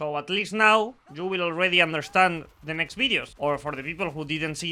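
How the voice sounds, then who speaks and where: In a Spanish accent, a man talks at a fairly quick pace with a high pitch, lively intonation and a bright, sharp tone. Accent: non-native English, Spanish speaker. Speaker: gaming YouTuber and streamer. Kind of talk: video game introduction video. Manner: halting, repeats words.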